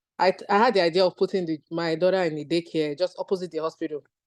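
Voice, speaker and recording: In a Nigerian accent, a woman talks at a fairly quick pace and medium pitch, with a dry, close sound and no echo. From Nigeria (Lagos). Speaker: physician. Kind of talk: testimony.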